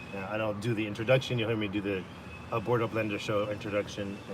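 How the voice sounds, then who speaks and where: Audible room echo surrounds a man whose fairly low voice stays monotone and flat. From Los Angeles, US, Salvadoran family. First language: Spanish. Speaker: live streamer and NFT club host. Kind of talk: casual live stream chat. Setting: live stream with Zoom recording. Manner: hesitant, many fillers.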